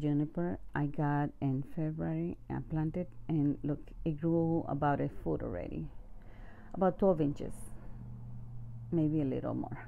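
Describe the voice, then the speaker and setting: A woman with a non-native accent speaks at a fairly slow pace, leaving long, frequent pauses. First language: not English. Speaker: home gardener, video creator. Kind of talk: garden tour walkthrough. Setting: outdoors in garden. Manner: casual, with hesitations.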